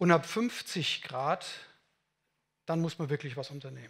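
A man speaks fairly slowly in a high pitch with ordinary pitch variation. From Germany, Munich; Germany. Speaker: building physicist / climate engineer; invited lecturer. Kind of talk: conference talk. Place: meeting room. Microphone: headset.

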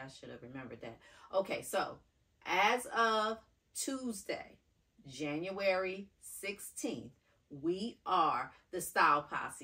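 A woman's voice with big swings in loudness, very wide pitch swings and long, frequent pauses over a quiet background. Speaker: fashion vlogger. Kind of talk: casual vlog chat. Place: home room. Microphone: camera far.

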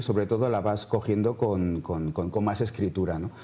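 A man talks in a fairly low voice with ordinary pitch variation. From Madrid, Spain; Spain. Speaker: novelist; interviewee. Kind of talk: TV interview. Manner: halting, many repetitions. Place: studio. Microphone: lapel.

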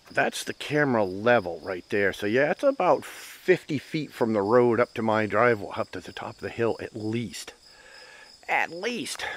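With lively intonation and big swings in loudness, the speaker goes at a moderate pace in a dry recording with no echo. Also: man. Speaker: property owner vlogger. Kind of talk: casual vlog chat. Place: forest. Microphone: phone near.

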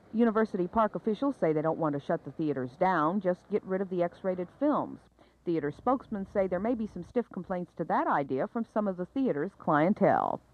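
At a fairly quick pace and with lively intonation, a woman speaks in a dry sound with no echo. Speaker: TV news reporter. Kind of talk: 1970s TV news report, scripted narration. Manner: formal, measured, polished broadcast delivery. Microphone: old recording.

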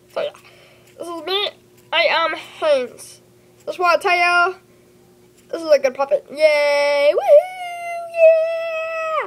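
A cartoonish character voice at an extremely high pitch goes at a fairly slow pace, broken by long, frequent pauses. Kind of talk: kid's homemade puppet show. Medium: puppet show. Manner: bubbly, excitable.

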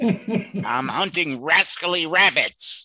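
Using a put-on character voice, a man talks at a very slow pace with a high pitch. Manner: cartoonish.

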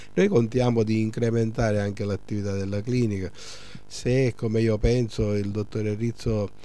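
A man speaks in a flat monotone. The sound is dry, with no echo. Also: fairly low pitch for a man, moderate pace. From Sicily. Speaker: surgeon and clinic director. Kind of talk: interview. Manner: hesitant, many fillers. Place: office. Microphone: handheld.

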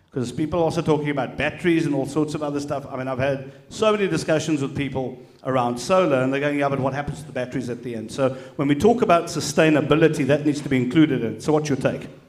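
A man talks at a very fast pace with a fairly high pitch. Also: ordinary pitch variation. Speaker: panel moderator. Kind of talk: panel moderation. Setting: stage with audience. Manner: jokey. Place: hall. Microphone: handheld.

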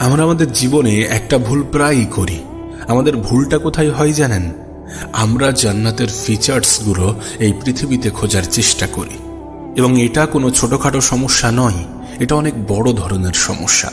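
Over background music, a man at a medium pitch speaks with ordinary pitch variation and very even loudness. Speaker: radio jockey. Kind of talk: religious motivational talk.

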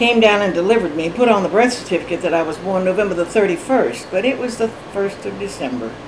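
A woman with an American accent at a very fast pace, over noticeable background noise. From Georgia, USA. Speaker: grandmother being interviewed. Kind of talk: interview answer. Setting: at home, Honeysuckle Hollow. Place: home room. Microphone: camera far.

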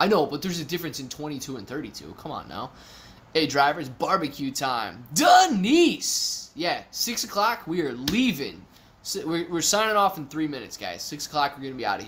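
A man with an American accent talks at a moderate pace in an animated tone, with fairly high pitch and lively intonation. His loudness swings widely. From Ohio. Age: 30s. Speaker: YouTube stock streamer. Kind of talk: live stream chat reading. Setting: live stream from a temporary office. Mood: relaxed, friendly. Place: home room.

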